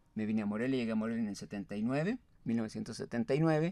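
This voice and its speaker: Lively intonation marks this man's dark, mellow tone. The sound is dry, with no echo. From Mexico, Michoacán (raised in Apatzingán); Michoacán, Mexico. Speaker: writer and poet; poet. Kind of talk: interview. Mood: relaxed reminiscing. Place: studio. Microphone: studio mic.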